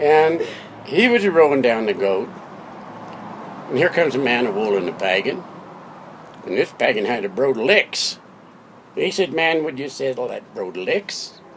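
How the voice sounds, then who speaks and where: Over noticeable background noise, a man with a fairly high pitch and very wide pitch swings talks at a moderate pace with long, frequent pauses. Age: 80s+. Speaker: father telling a family story. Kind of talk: spoken-word comic storytelling from memory. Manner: playful, spoonerized wordplay.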